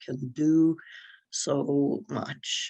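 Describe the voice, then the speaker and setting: The speaker is a woman whose pitch is very deep and low. She keeps her intonation fairly even. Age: 70s. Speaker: advocate and speaker on drug harms. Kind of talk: workshop presentation. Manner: halting, many fillers and repeats.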